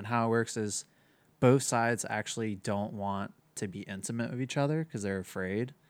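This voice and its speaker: A man talks at a moderate pace with fairly even intonation in a plain, everyday voice. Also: very clean recording, silent background. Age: 20s. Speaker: relationship manager. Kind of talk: casual chat.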